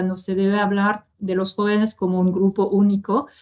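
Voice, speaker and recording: Speaking in a French accent, a woman talks at a fairly slow pace. Her pitch is medium. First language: French (speaking Spanish). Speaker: international organization presenter. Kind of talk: webinar presentation. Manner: halting, many fillers.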